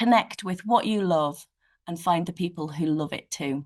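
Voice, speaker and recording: At a moderate pace, a woman talks with a northeast English accent. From northeast England. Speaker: children's author. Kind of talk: virtual author talk answering school questions. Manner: animated.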